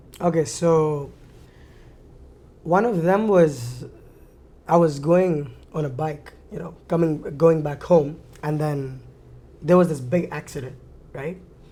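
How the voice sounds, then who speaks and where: A man's fairly high voice with a dark, mellow tone, ordinary pitch variation, big swings in loudness, a very slow pace, long, frequent pauses, and audible room echo. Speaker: university alumnus. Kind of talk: casual chat.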